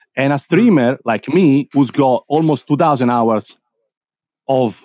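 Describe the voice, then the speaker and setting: Fairly slowly, a man speaks at medium pitch with ordinary pitch variation in an unremarkable speaking voice. The sound is dry and close, with no echo. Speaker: DJ and Twitch streamer. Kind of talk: casual chat. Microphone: nice microphone.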